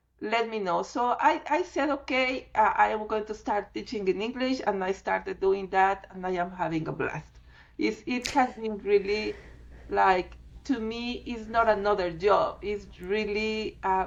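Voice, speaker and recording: A woman with a Spanish accent speaks at a fairly slow pace, her pitch fairly high with ordinary variation. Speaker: fluid art teacher. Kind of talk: interview.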